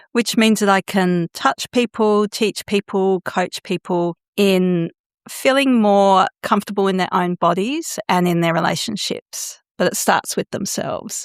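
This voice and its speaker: Recorded very cleanly against a silent background, with a dry, close sound and no echo, a woman talks in a normal speaking voice at a medium pitch, using ordinary pitch variation and a fairly slow pace. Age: 60s. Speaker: sexological bodyworker and consent teacher. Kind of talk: podcast interview.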